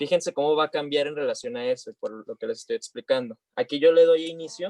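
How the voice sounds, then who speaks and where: Speaking at a fairly quick pace, a man with an ordinary speaking voice and a fairly high pitch uses lively intonation, the sound dry and close with no echo. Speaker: health sciences teacher. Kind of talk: online class demonstration.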